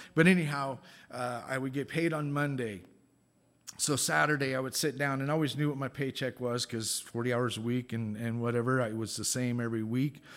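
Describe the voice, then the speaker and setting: A man with an unremarkable speaking voice talks at a fairly quick pace, his medium pitch moving with ordinary variation. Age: 50s. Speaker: guest preacher. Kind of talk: sermon.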